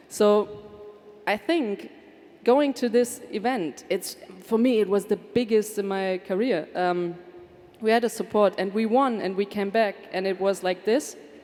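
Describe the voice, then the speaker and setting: Noticeable background noise runs behind a woman's voice at a medium pitch. She speaks at a fairly slow pace with ordinary pitch variation. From Germany. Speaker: former football player and artist. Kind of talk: panel discussion.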